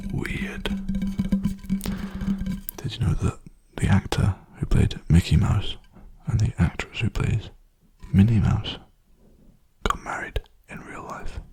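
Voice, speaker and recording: Someone whispers in a relaxed tone at a fairly slow pace, with long, frequent pauses. Noticeable background noise runs underneath. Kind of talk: ASMR softly spoken rambling and guided meditation. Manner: soft-spoken, relaxed, rambling.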